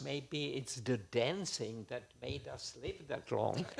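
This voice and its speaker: A man's vocal fry at a fairly slow pace, with ordinary pitch variation. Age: 80s+. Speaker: war eyewitness. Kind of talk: testimony. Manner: halting.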